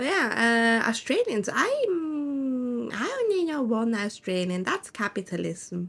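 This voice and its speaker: A woman with a high pitch and a non-native accent talks at a very slow pace with very wide pitch swings. She leaves hardly any pauses. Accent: non-native accent, stronger lately. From Switzerland. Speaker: vtuber streamer. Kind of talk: casual chat while gaming. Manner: halting.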